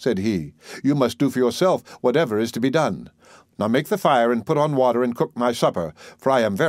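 Just a natural reading voice.

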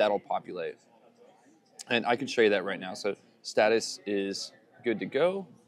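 With light background noise, a man speaks at a fairly slow pace. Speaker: tutorial maker. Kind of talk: tutorial.

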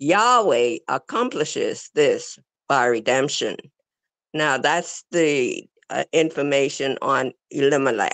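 A woman's very deep, low voice with lively intonation, very even loudness and a very slow pace, over a quiet background. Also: dry sound with no echo. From The Bahamas. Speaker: religious class speaker; speaker. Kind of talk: reading aloud. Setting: video call. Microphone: video call.

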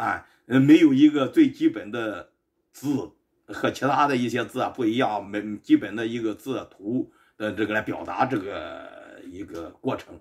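Against a quiet background, a man speaks with ordinary pitch variation. His loudness takes big swings. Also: fairly slow pace. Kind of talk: lecture. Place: home room. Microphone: camera far.

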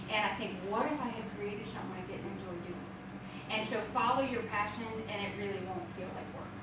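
Speech comes at a fairly quick pace over loud background noise, with audible echo from the room. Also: woman. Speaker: home bakery business owner. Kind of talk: interview. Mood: warm, enthusiastic. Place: kitchen.

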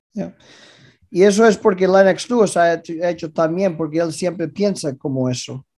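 A man talks at a moderate pace over a quiet background. His high voice shows ordinary pitch variation. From Canada (Vancouver area), born in Galicia. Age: 50s. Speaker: former boxing world champion. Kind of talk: casual interview chat. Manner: halting, repetitive. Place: home room. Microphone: video call.

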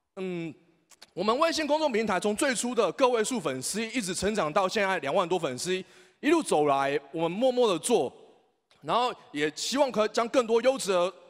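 Against a quiet background, a man with a strong Taiwanese accent talks at a moderate pace in a high voice that swings very widely in pitch. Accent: strong Taiwanese and Hokkien-tinged Mandarin. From Taiwan, Taipei. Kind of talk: speech. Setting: stage with audience. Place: hall. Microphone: handheld.

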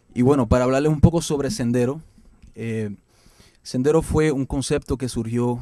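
The intonation stays fairly even. The speaker is a man whose tone is dark and mellow. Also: quiet background. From Puerto Rico. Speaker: band frontman, musician. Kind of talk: band self-introduction to camera.

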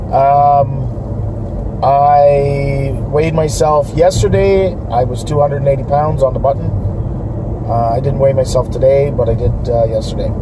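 Noticeable background noise accompanies a man whose speech is fairly slow. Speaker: vlogger. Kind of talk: casual vlog chat. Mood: relaxed, upbeat. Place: car. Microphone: phone near.

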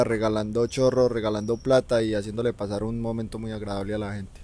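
A man's fairly quick, flat, monotone voice at medium pitch, dark and mellow in tone, with a Colombian paisa accent and a dry sound with no echo. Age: 20s. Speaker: reggaeton singer; guest. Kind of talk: interview. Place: studio. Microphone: handheld.

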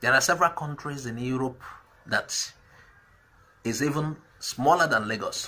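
Here a man speaks with a bright, sharp tone. His pace is moderate and his pitch varies in an ordinary way. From Nigeria, Igbo southeast (Anambra). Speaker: political commentary vlogger. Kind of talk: political commentary monologue. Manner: hesitant, frequent fillers. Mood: argumentative, persuasive.

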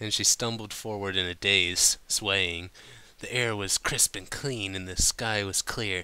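A natural voice reading aloud

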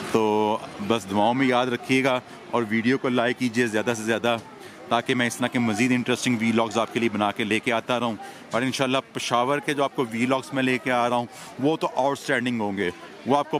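Light background noise sits under a man's voice. His intonation stays fairly even, and the sound is dry with no echo. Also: moderate pace. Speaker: travel vlogger. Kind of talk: casual vlog chat. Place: market. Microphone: phone near.

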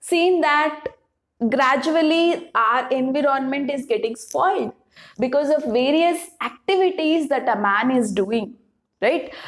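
Lively intonation marks the woman's speech, and the background stays quiet. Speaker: teacher. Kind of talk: lecture. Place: classroom.

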